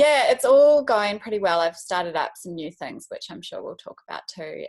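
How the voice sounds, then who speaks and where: A woman speaks with a fairly high pitch and very wide pitch swings. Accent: New Zealand. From New Zealand. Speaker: wedding photographer. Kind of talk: casual interview. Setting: video call.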